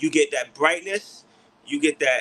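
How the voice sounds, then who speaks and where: The speaker is a man with a New York accent. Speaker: beard care product maker. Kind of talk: livestream product chat. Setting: livestream.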